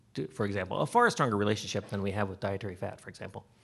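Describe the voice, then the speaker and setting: A man's somewhat breathy voice at a very fast pace. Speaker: physician. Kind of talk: lecture. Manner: halting.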